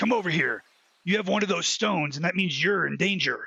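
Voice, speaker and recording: Doing a put-on character voice, a man speaks raspy and at a high pitch, at a fairly quick pace. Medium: audio drama. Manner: chatty, joking.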